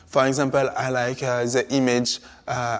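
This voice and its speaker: With a French accent, a man speaks in a medium pitch at a fairly slow pace. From Martinique. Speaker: artist. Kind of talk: interview conversation. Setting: palace interior. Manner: halting, many hesitations.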